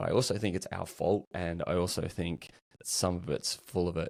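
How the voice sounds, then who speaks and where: Backed by a very clean recording with a silent background, a man with an Australian accent talks in a very deep, low pitch and fairly even intonation. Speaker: customer experience practitioner. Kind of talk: casual interview chat.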